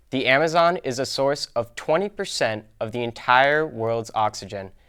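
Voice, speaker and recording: A man with a plain, everyday voice, ordinary pitch variation and a moderate pace, in a very clean recording with a silent background. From Plymouth, Massachusetts. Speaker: student news presenter. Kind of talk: scripted student news segment.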